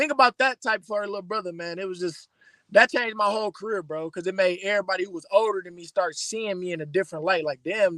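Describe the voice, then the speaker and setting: A man's raised, projected voice, high-pitched, bright and sharp in tone, with an American accent, a very fast pace, big swings in loudness, and a dry, close sound with no echo against a quiet background. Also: ordinary pitch variation. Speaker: rapper. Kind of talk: casual interview chat. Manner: animated.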